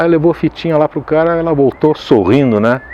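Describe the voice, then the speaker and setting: A man talks at a very fast clip in a fairly high voice. Noticeable noise runs in the background. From Caxias do Sul, Brazil. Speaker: voice actor. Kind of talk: interview answer. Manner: casual, conversational.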